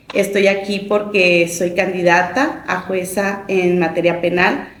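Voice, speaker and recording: A woman's fairly low-pitched voice with fairly even intonation at a fairly slow pace, plus audible room echo. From Mexico, Chihuahua city. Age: 40s. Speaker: judicial candidate, lawyer. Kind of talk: interview.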